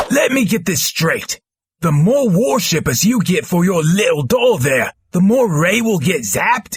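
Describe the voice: A put-on character voice from a man, high in pitch, at a moderate pace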